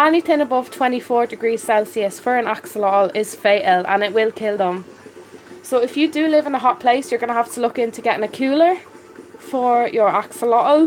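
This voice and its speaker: Over noticeable background noise, a woman with a Dublin accent talks at a fairly quick pace with a high pitch and lively intonation. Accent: Dublin Irish. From Ireland. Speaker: aquarium hobbyist live streamer. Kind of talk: live stream chat. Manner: casual, hesitant with fillers.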